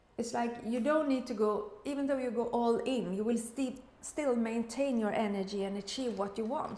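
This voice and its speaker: A woman with a Swedish accent speaks at a fairly high pitch and a moderate pace, with ordinary pitch variation and audible room echo. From Sweden. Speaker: tarot reader. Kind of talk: tarot reading. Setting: room in the kitchen, high ceiling. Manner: halting. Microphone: echoey room sound.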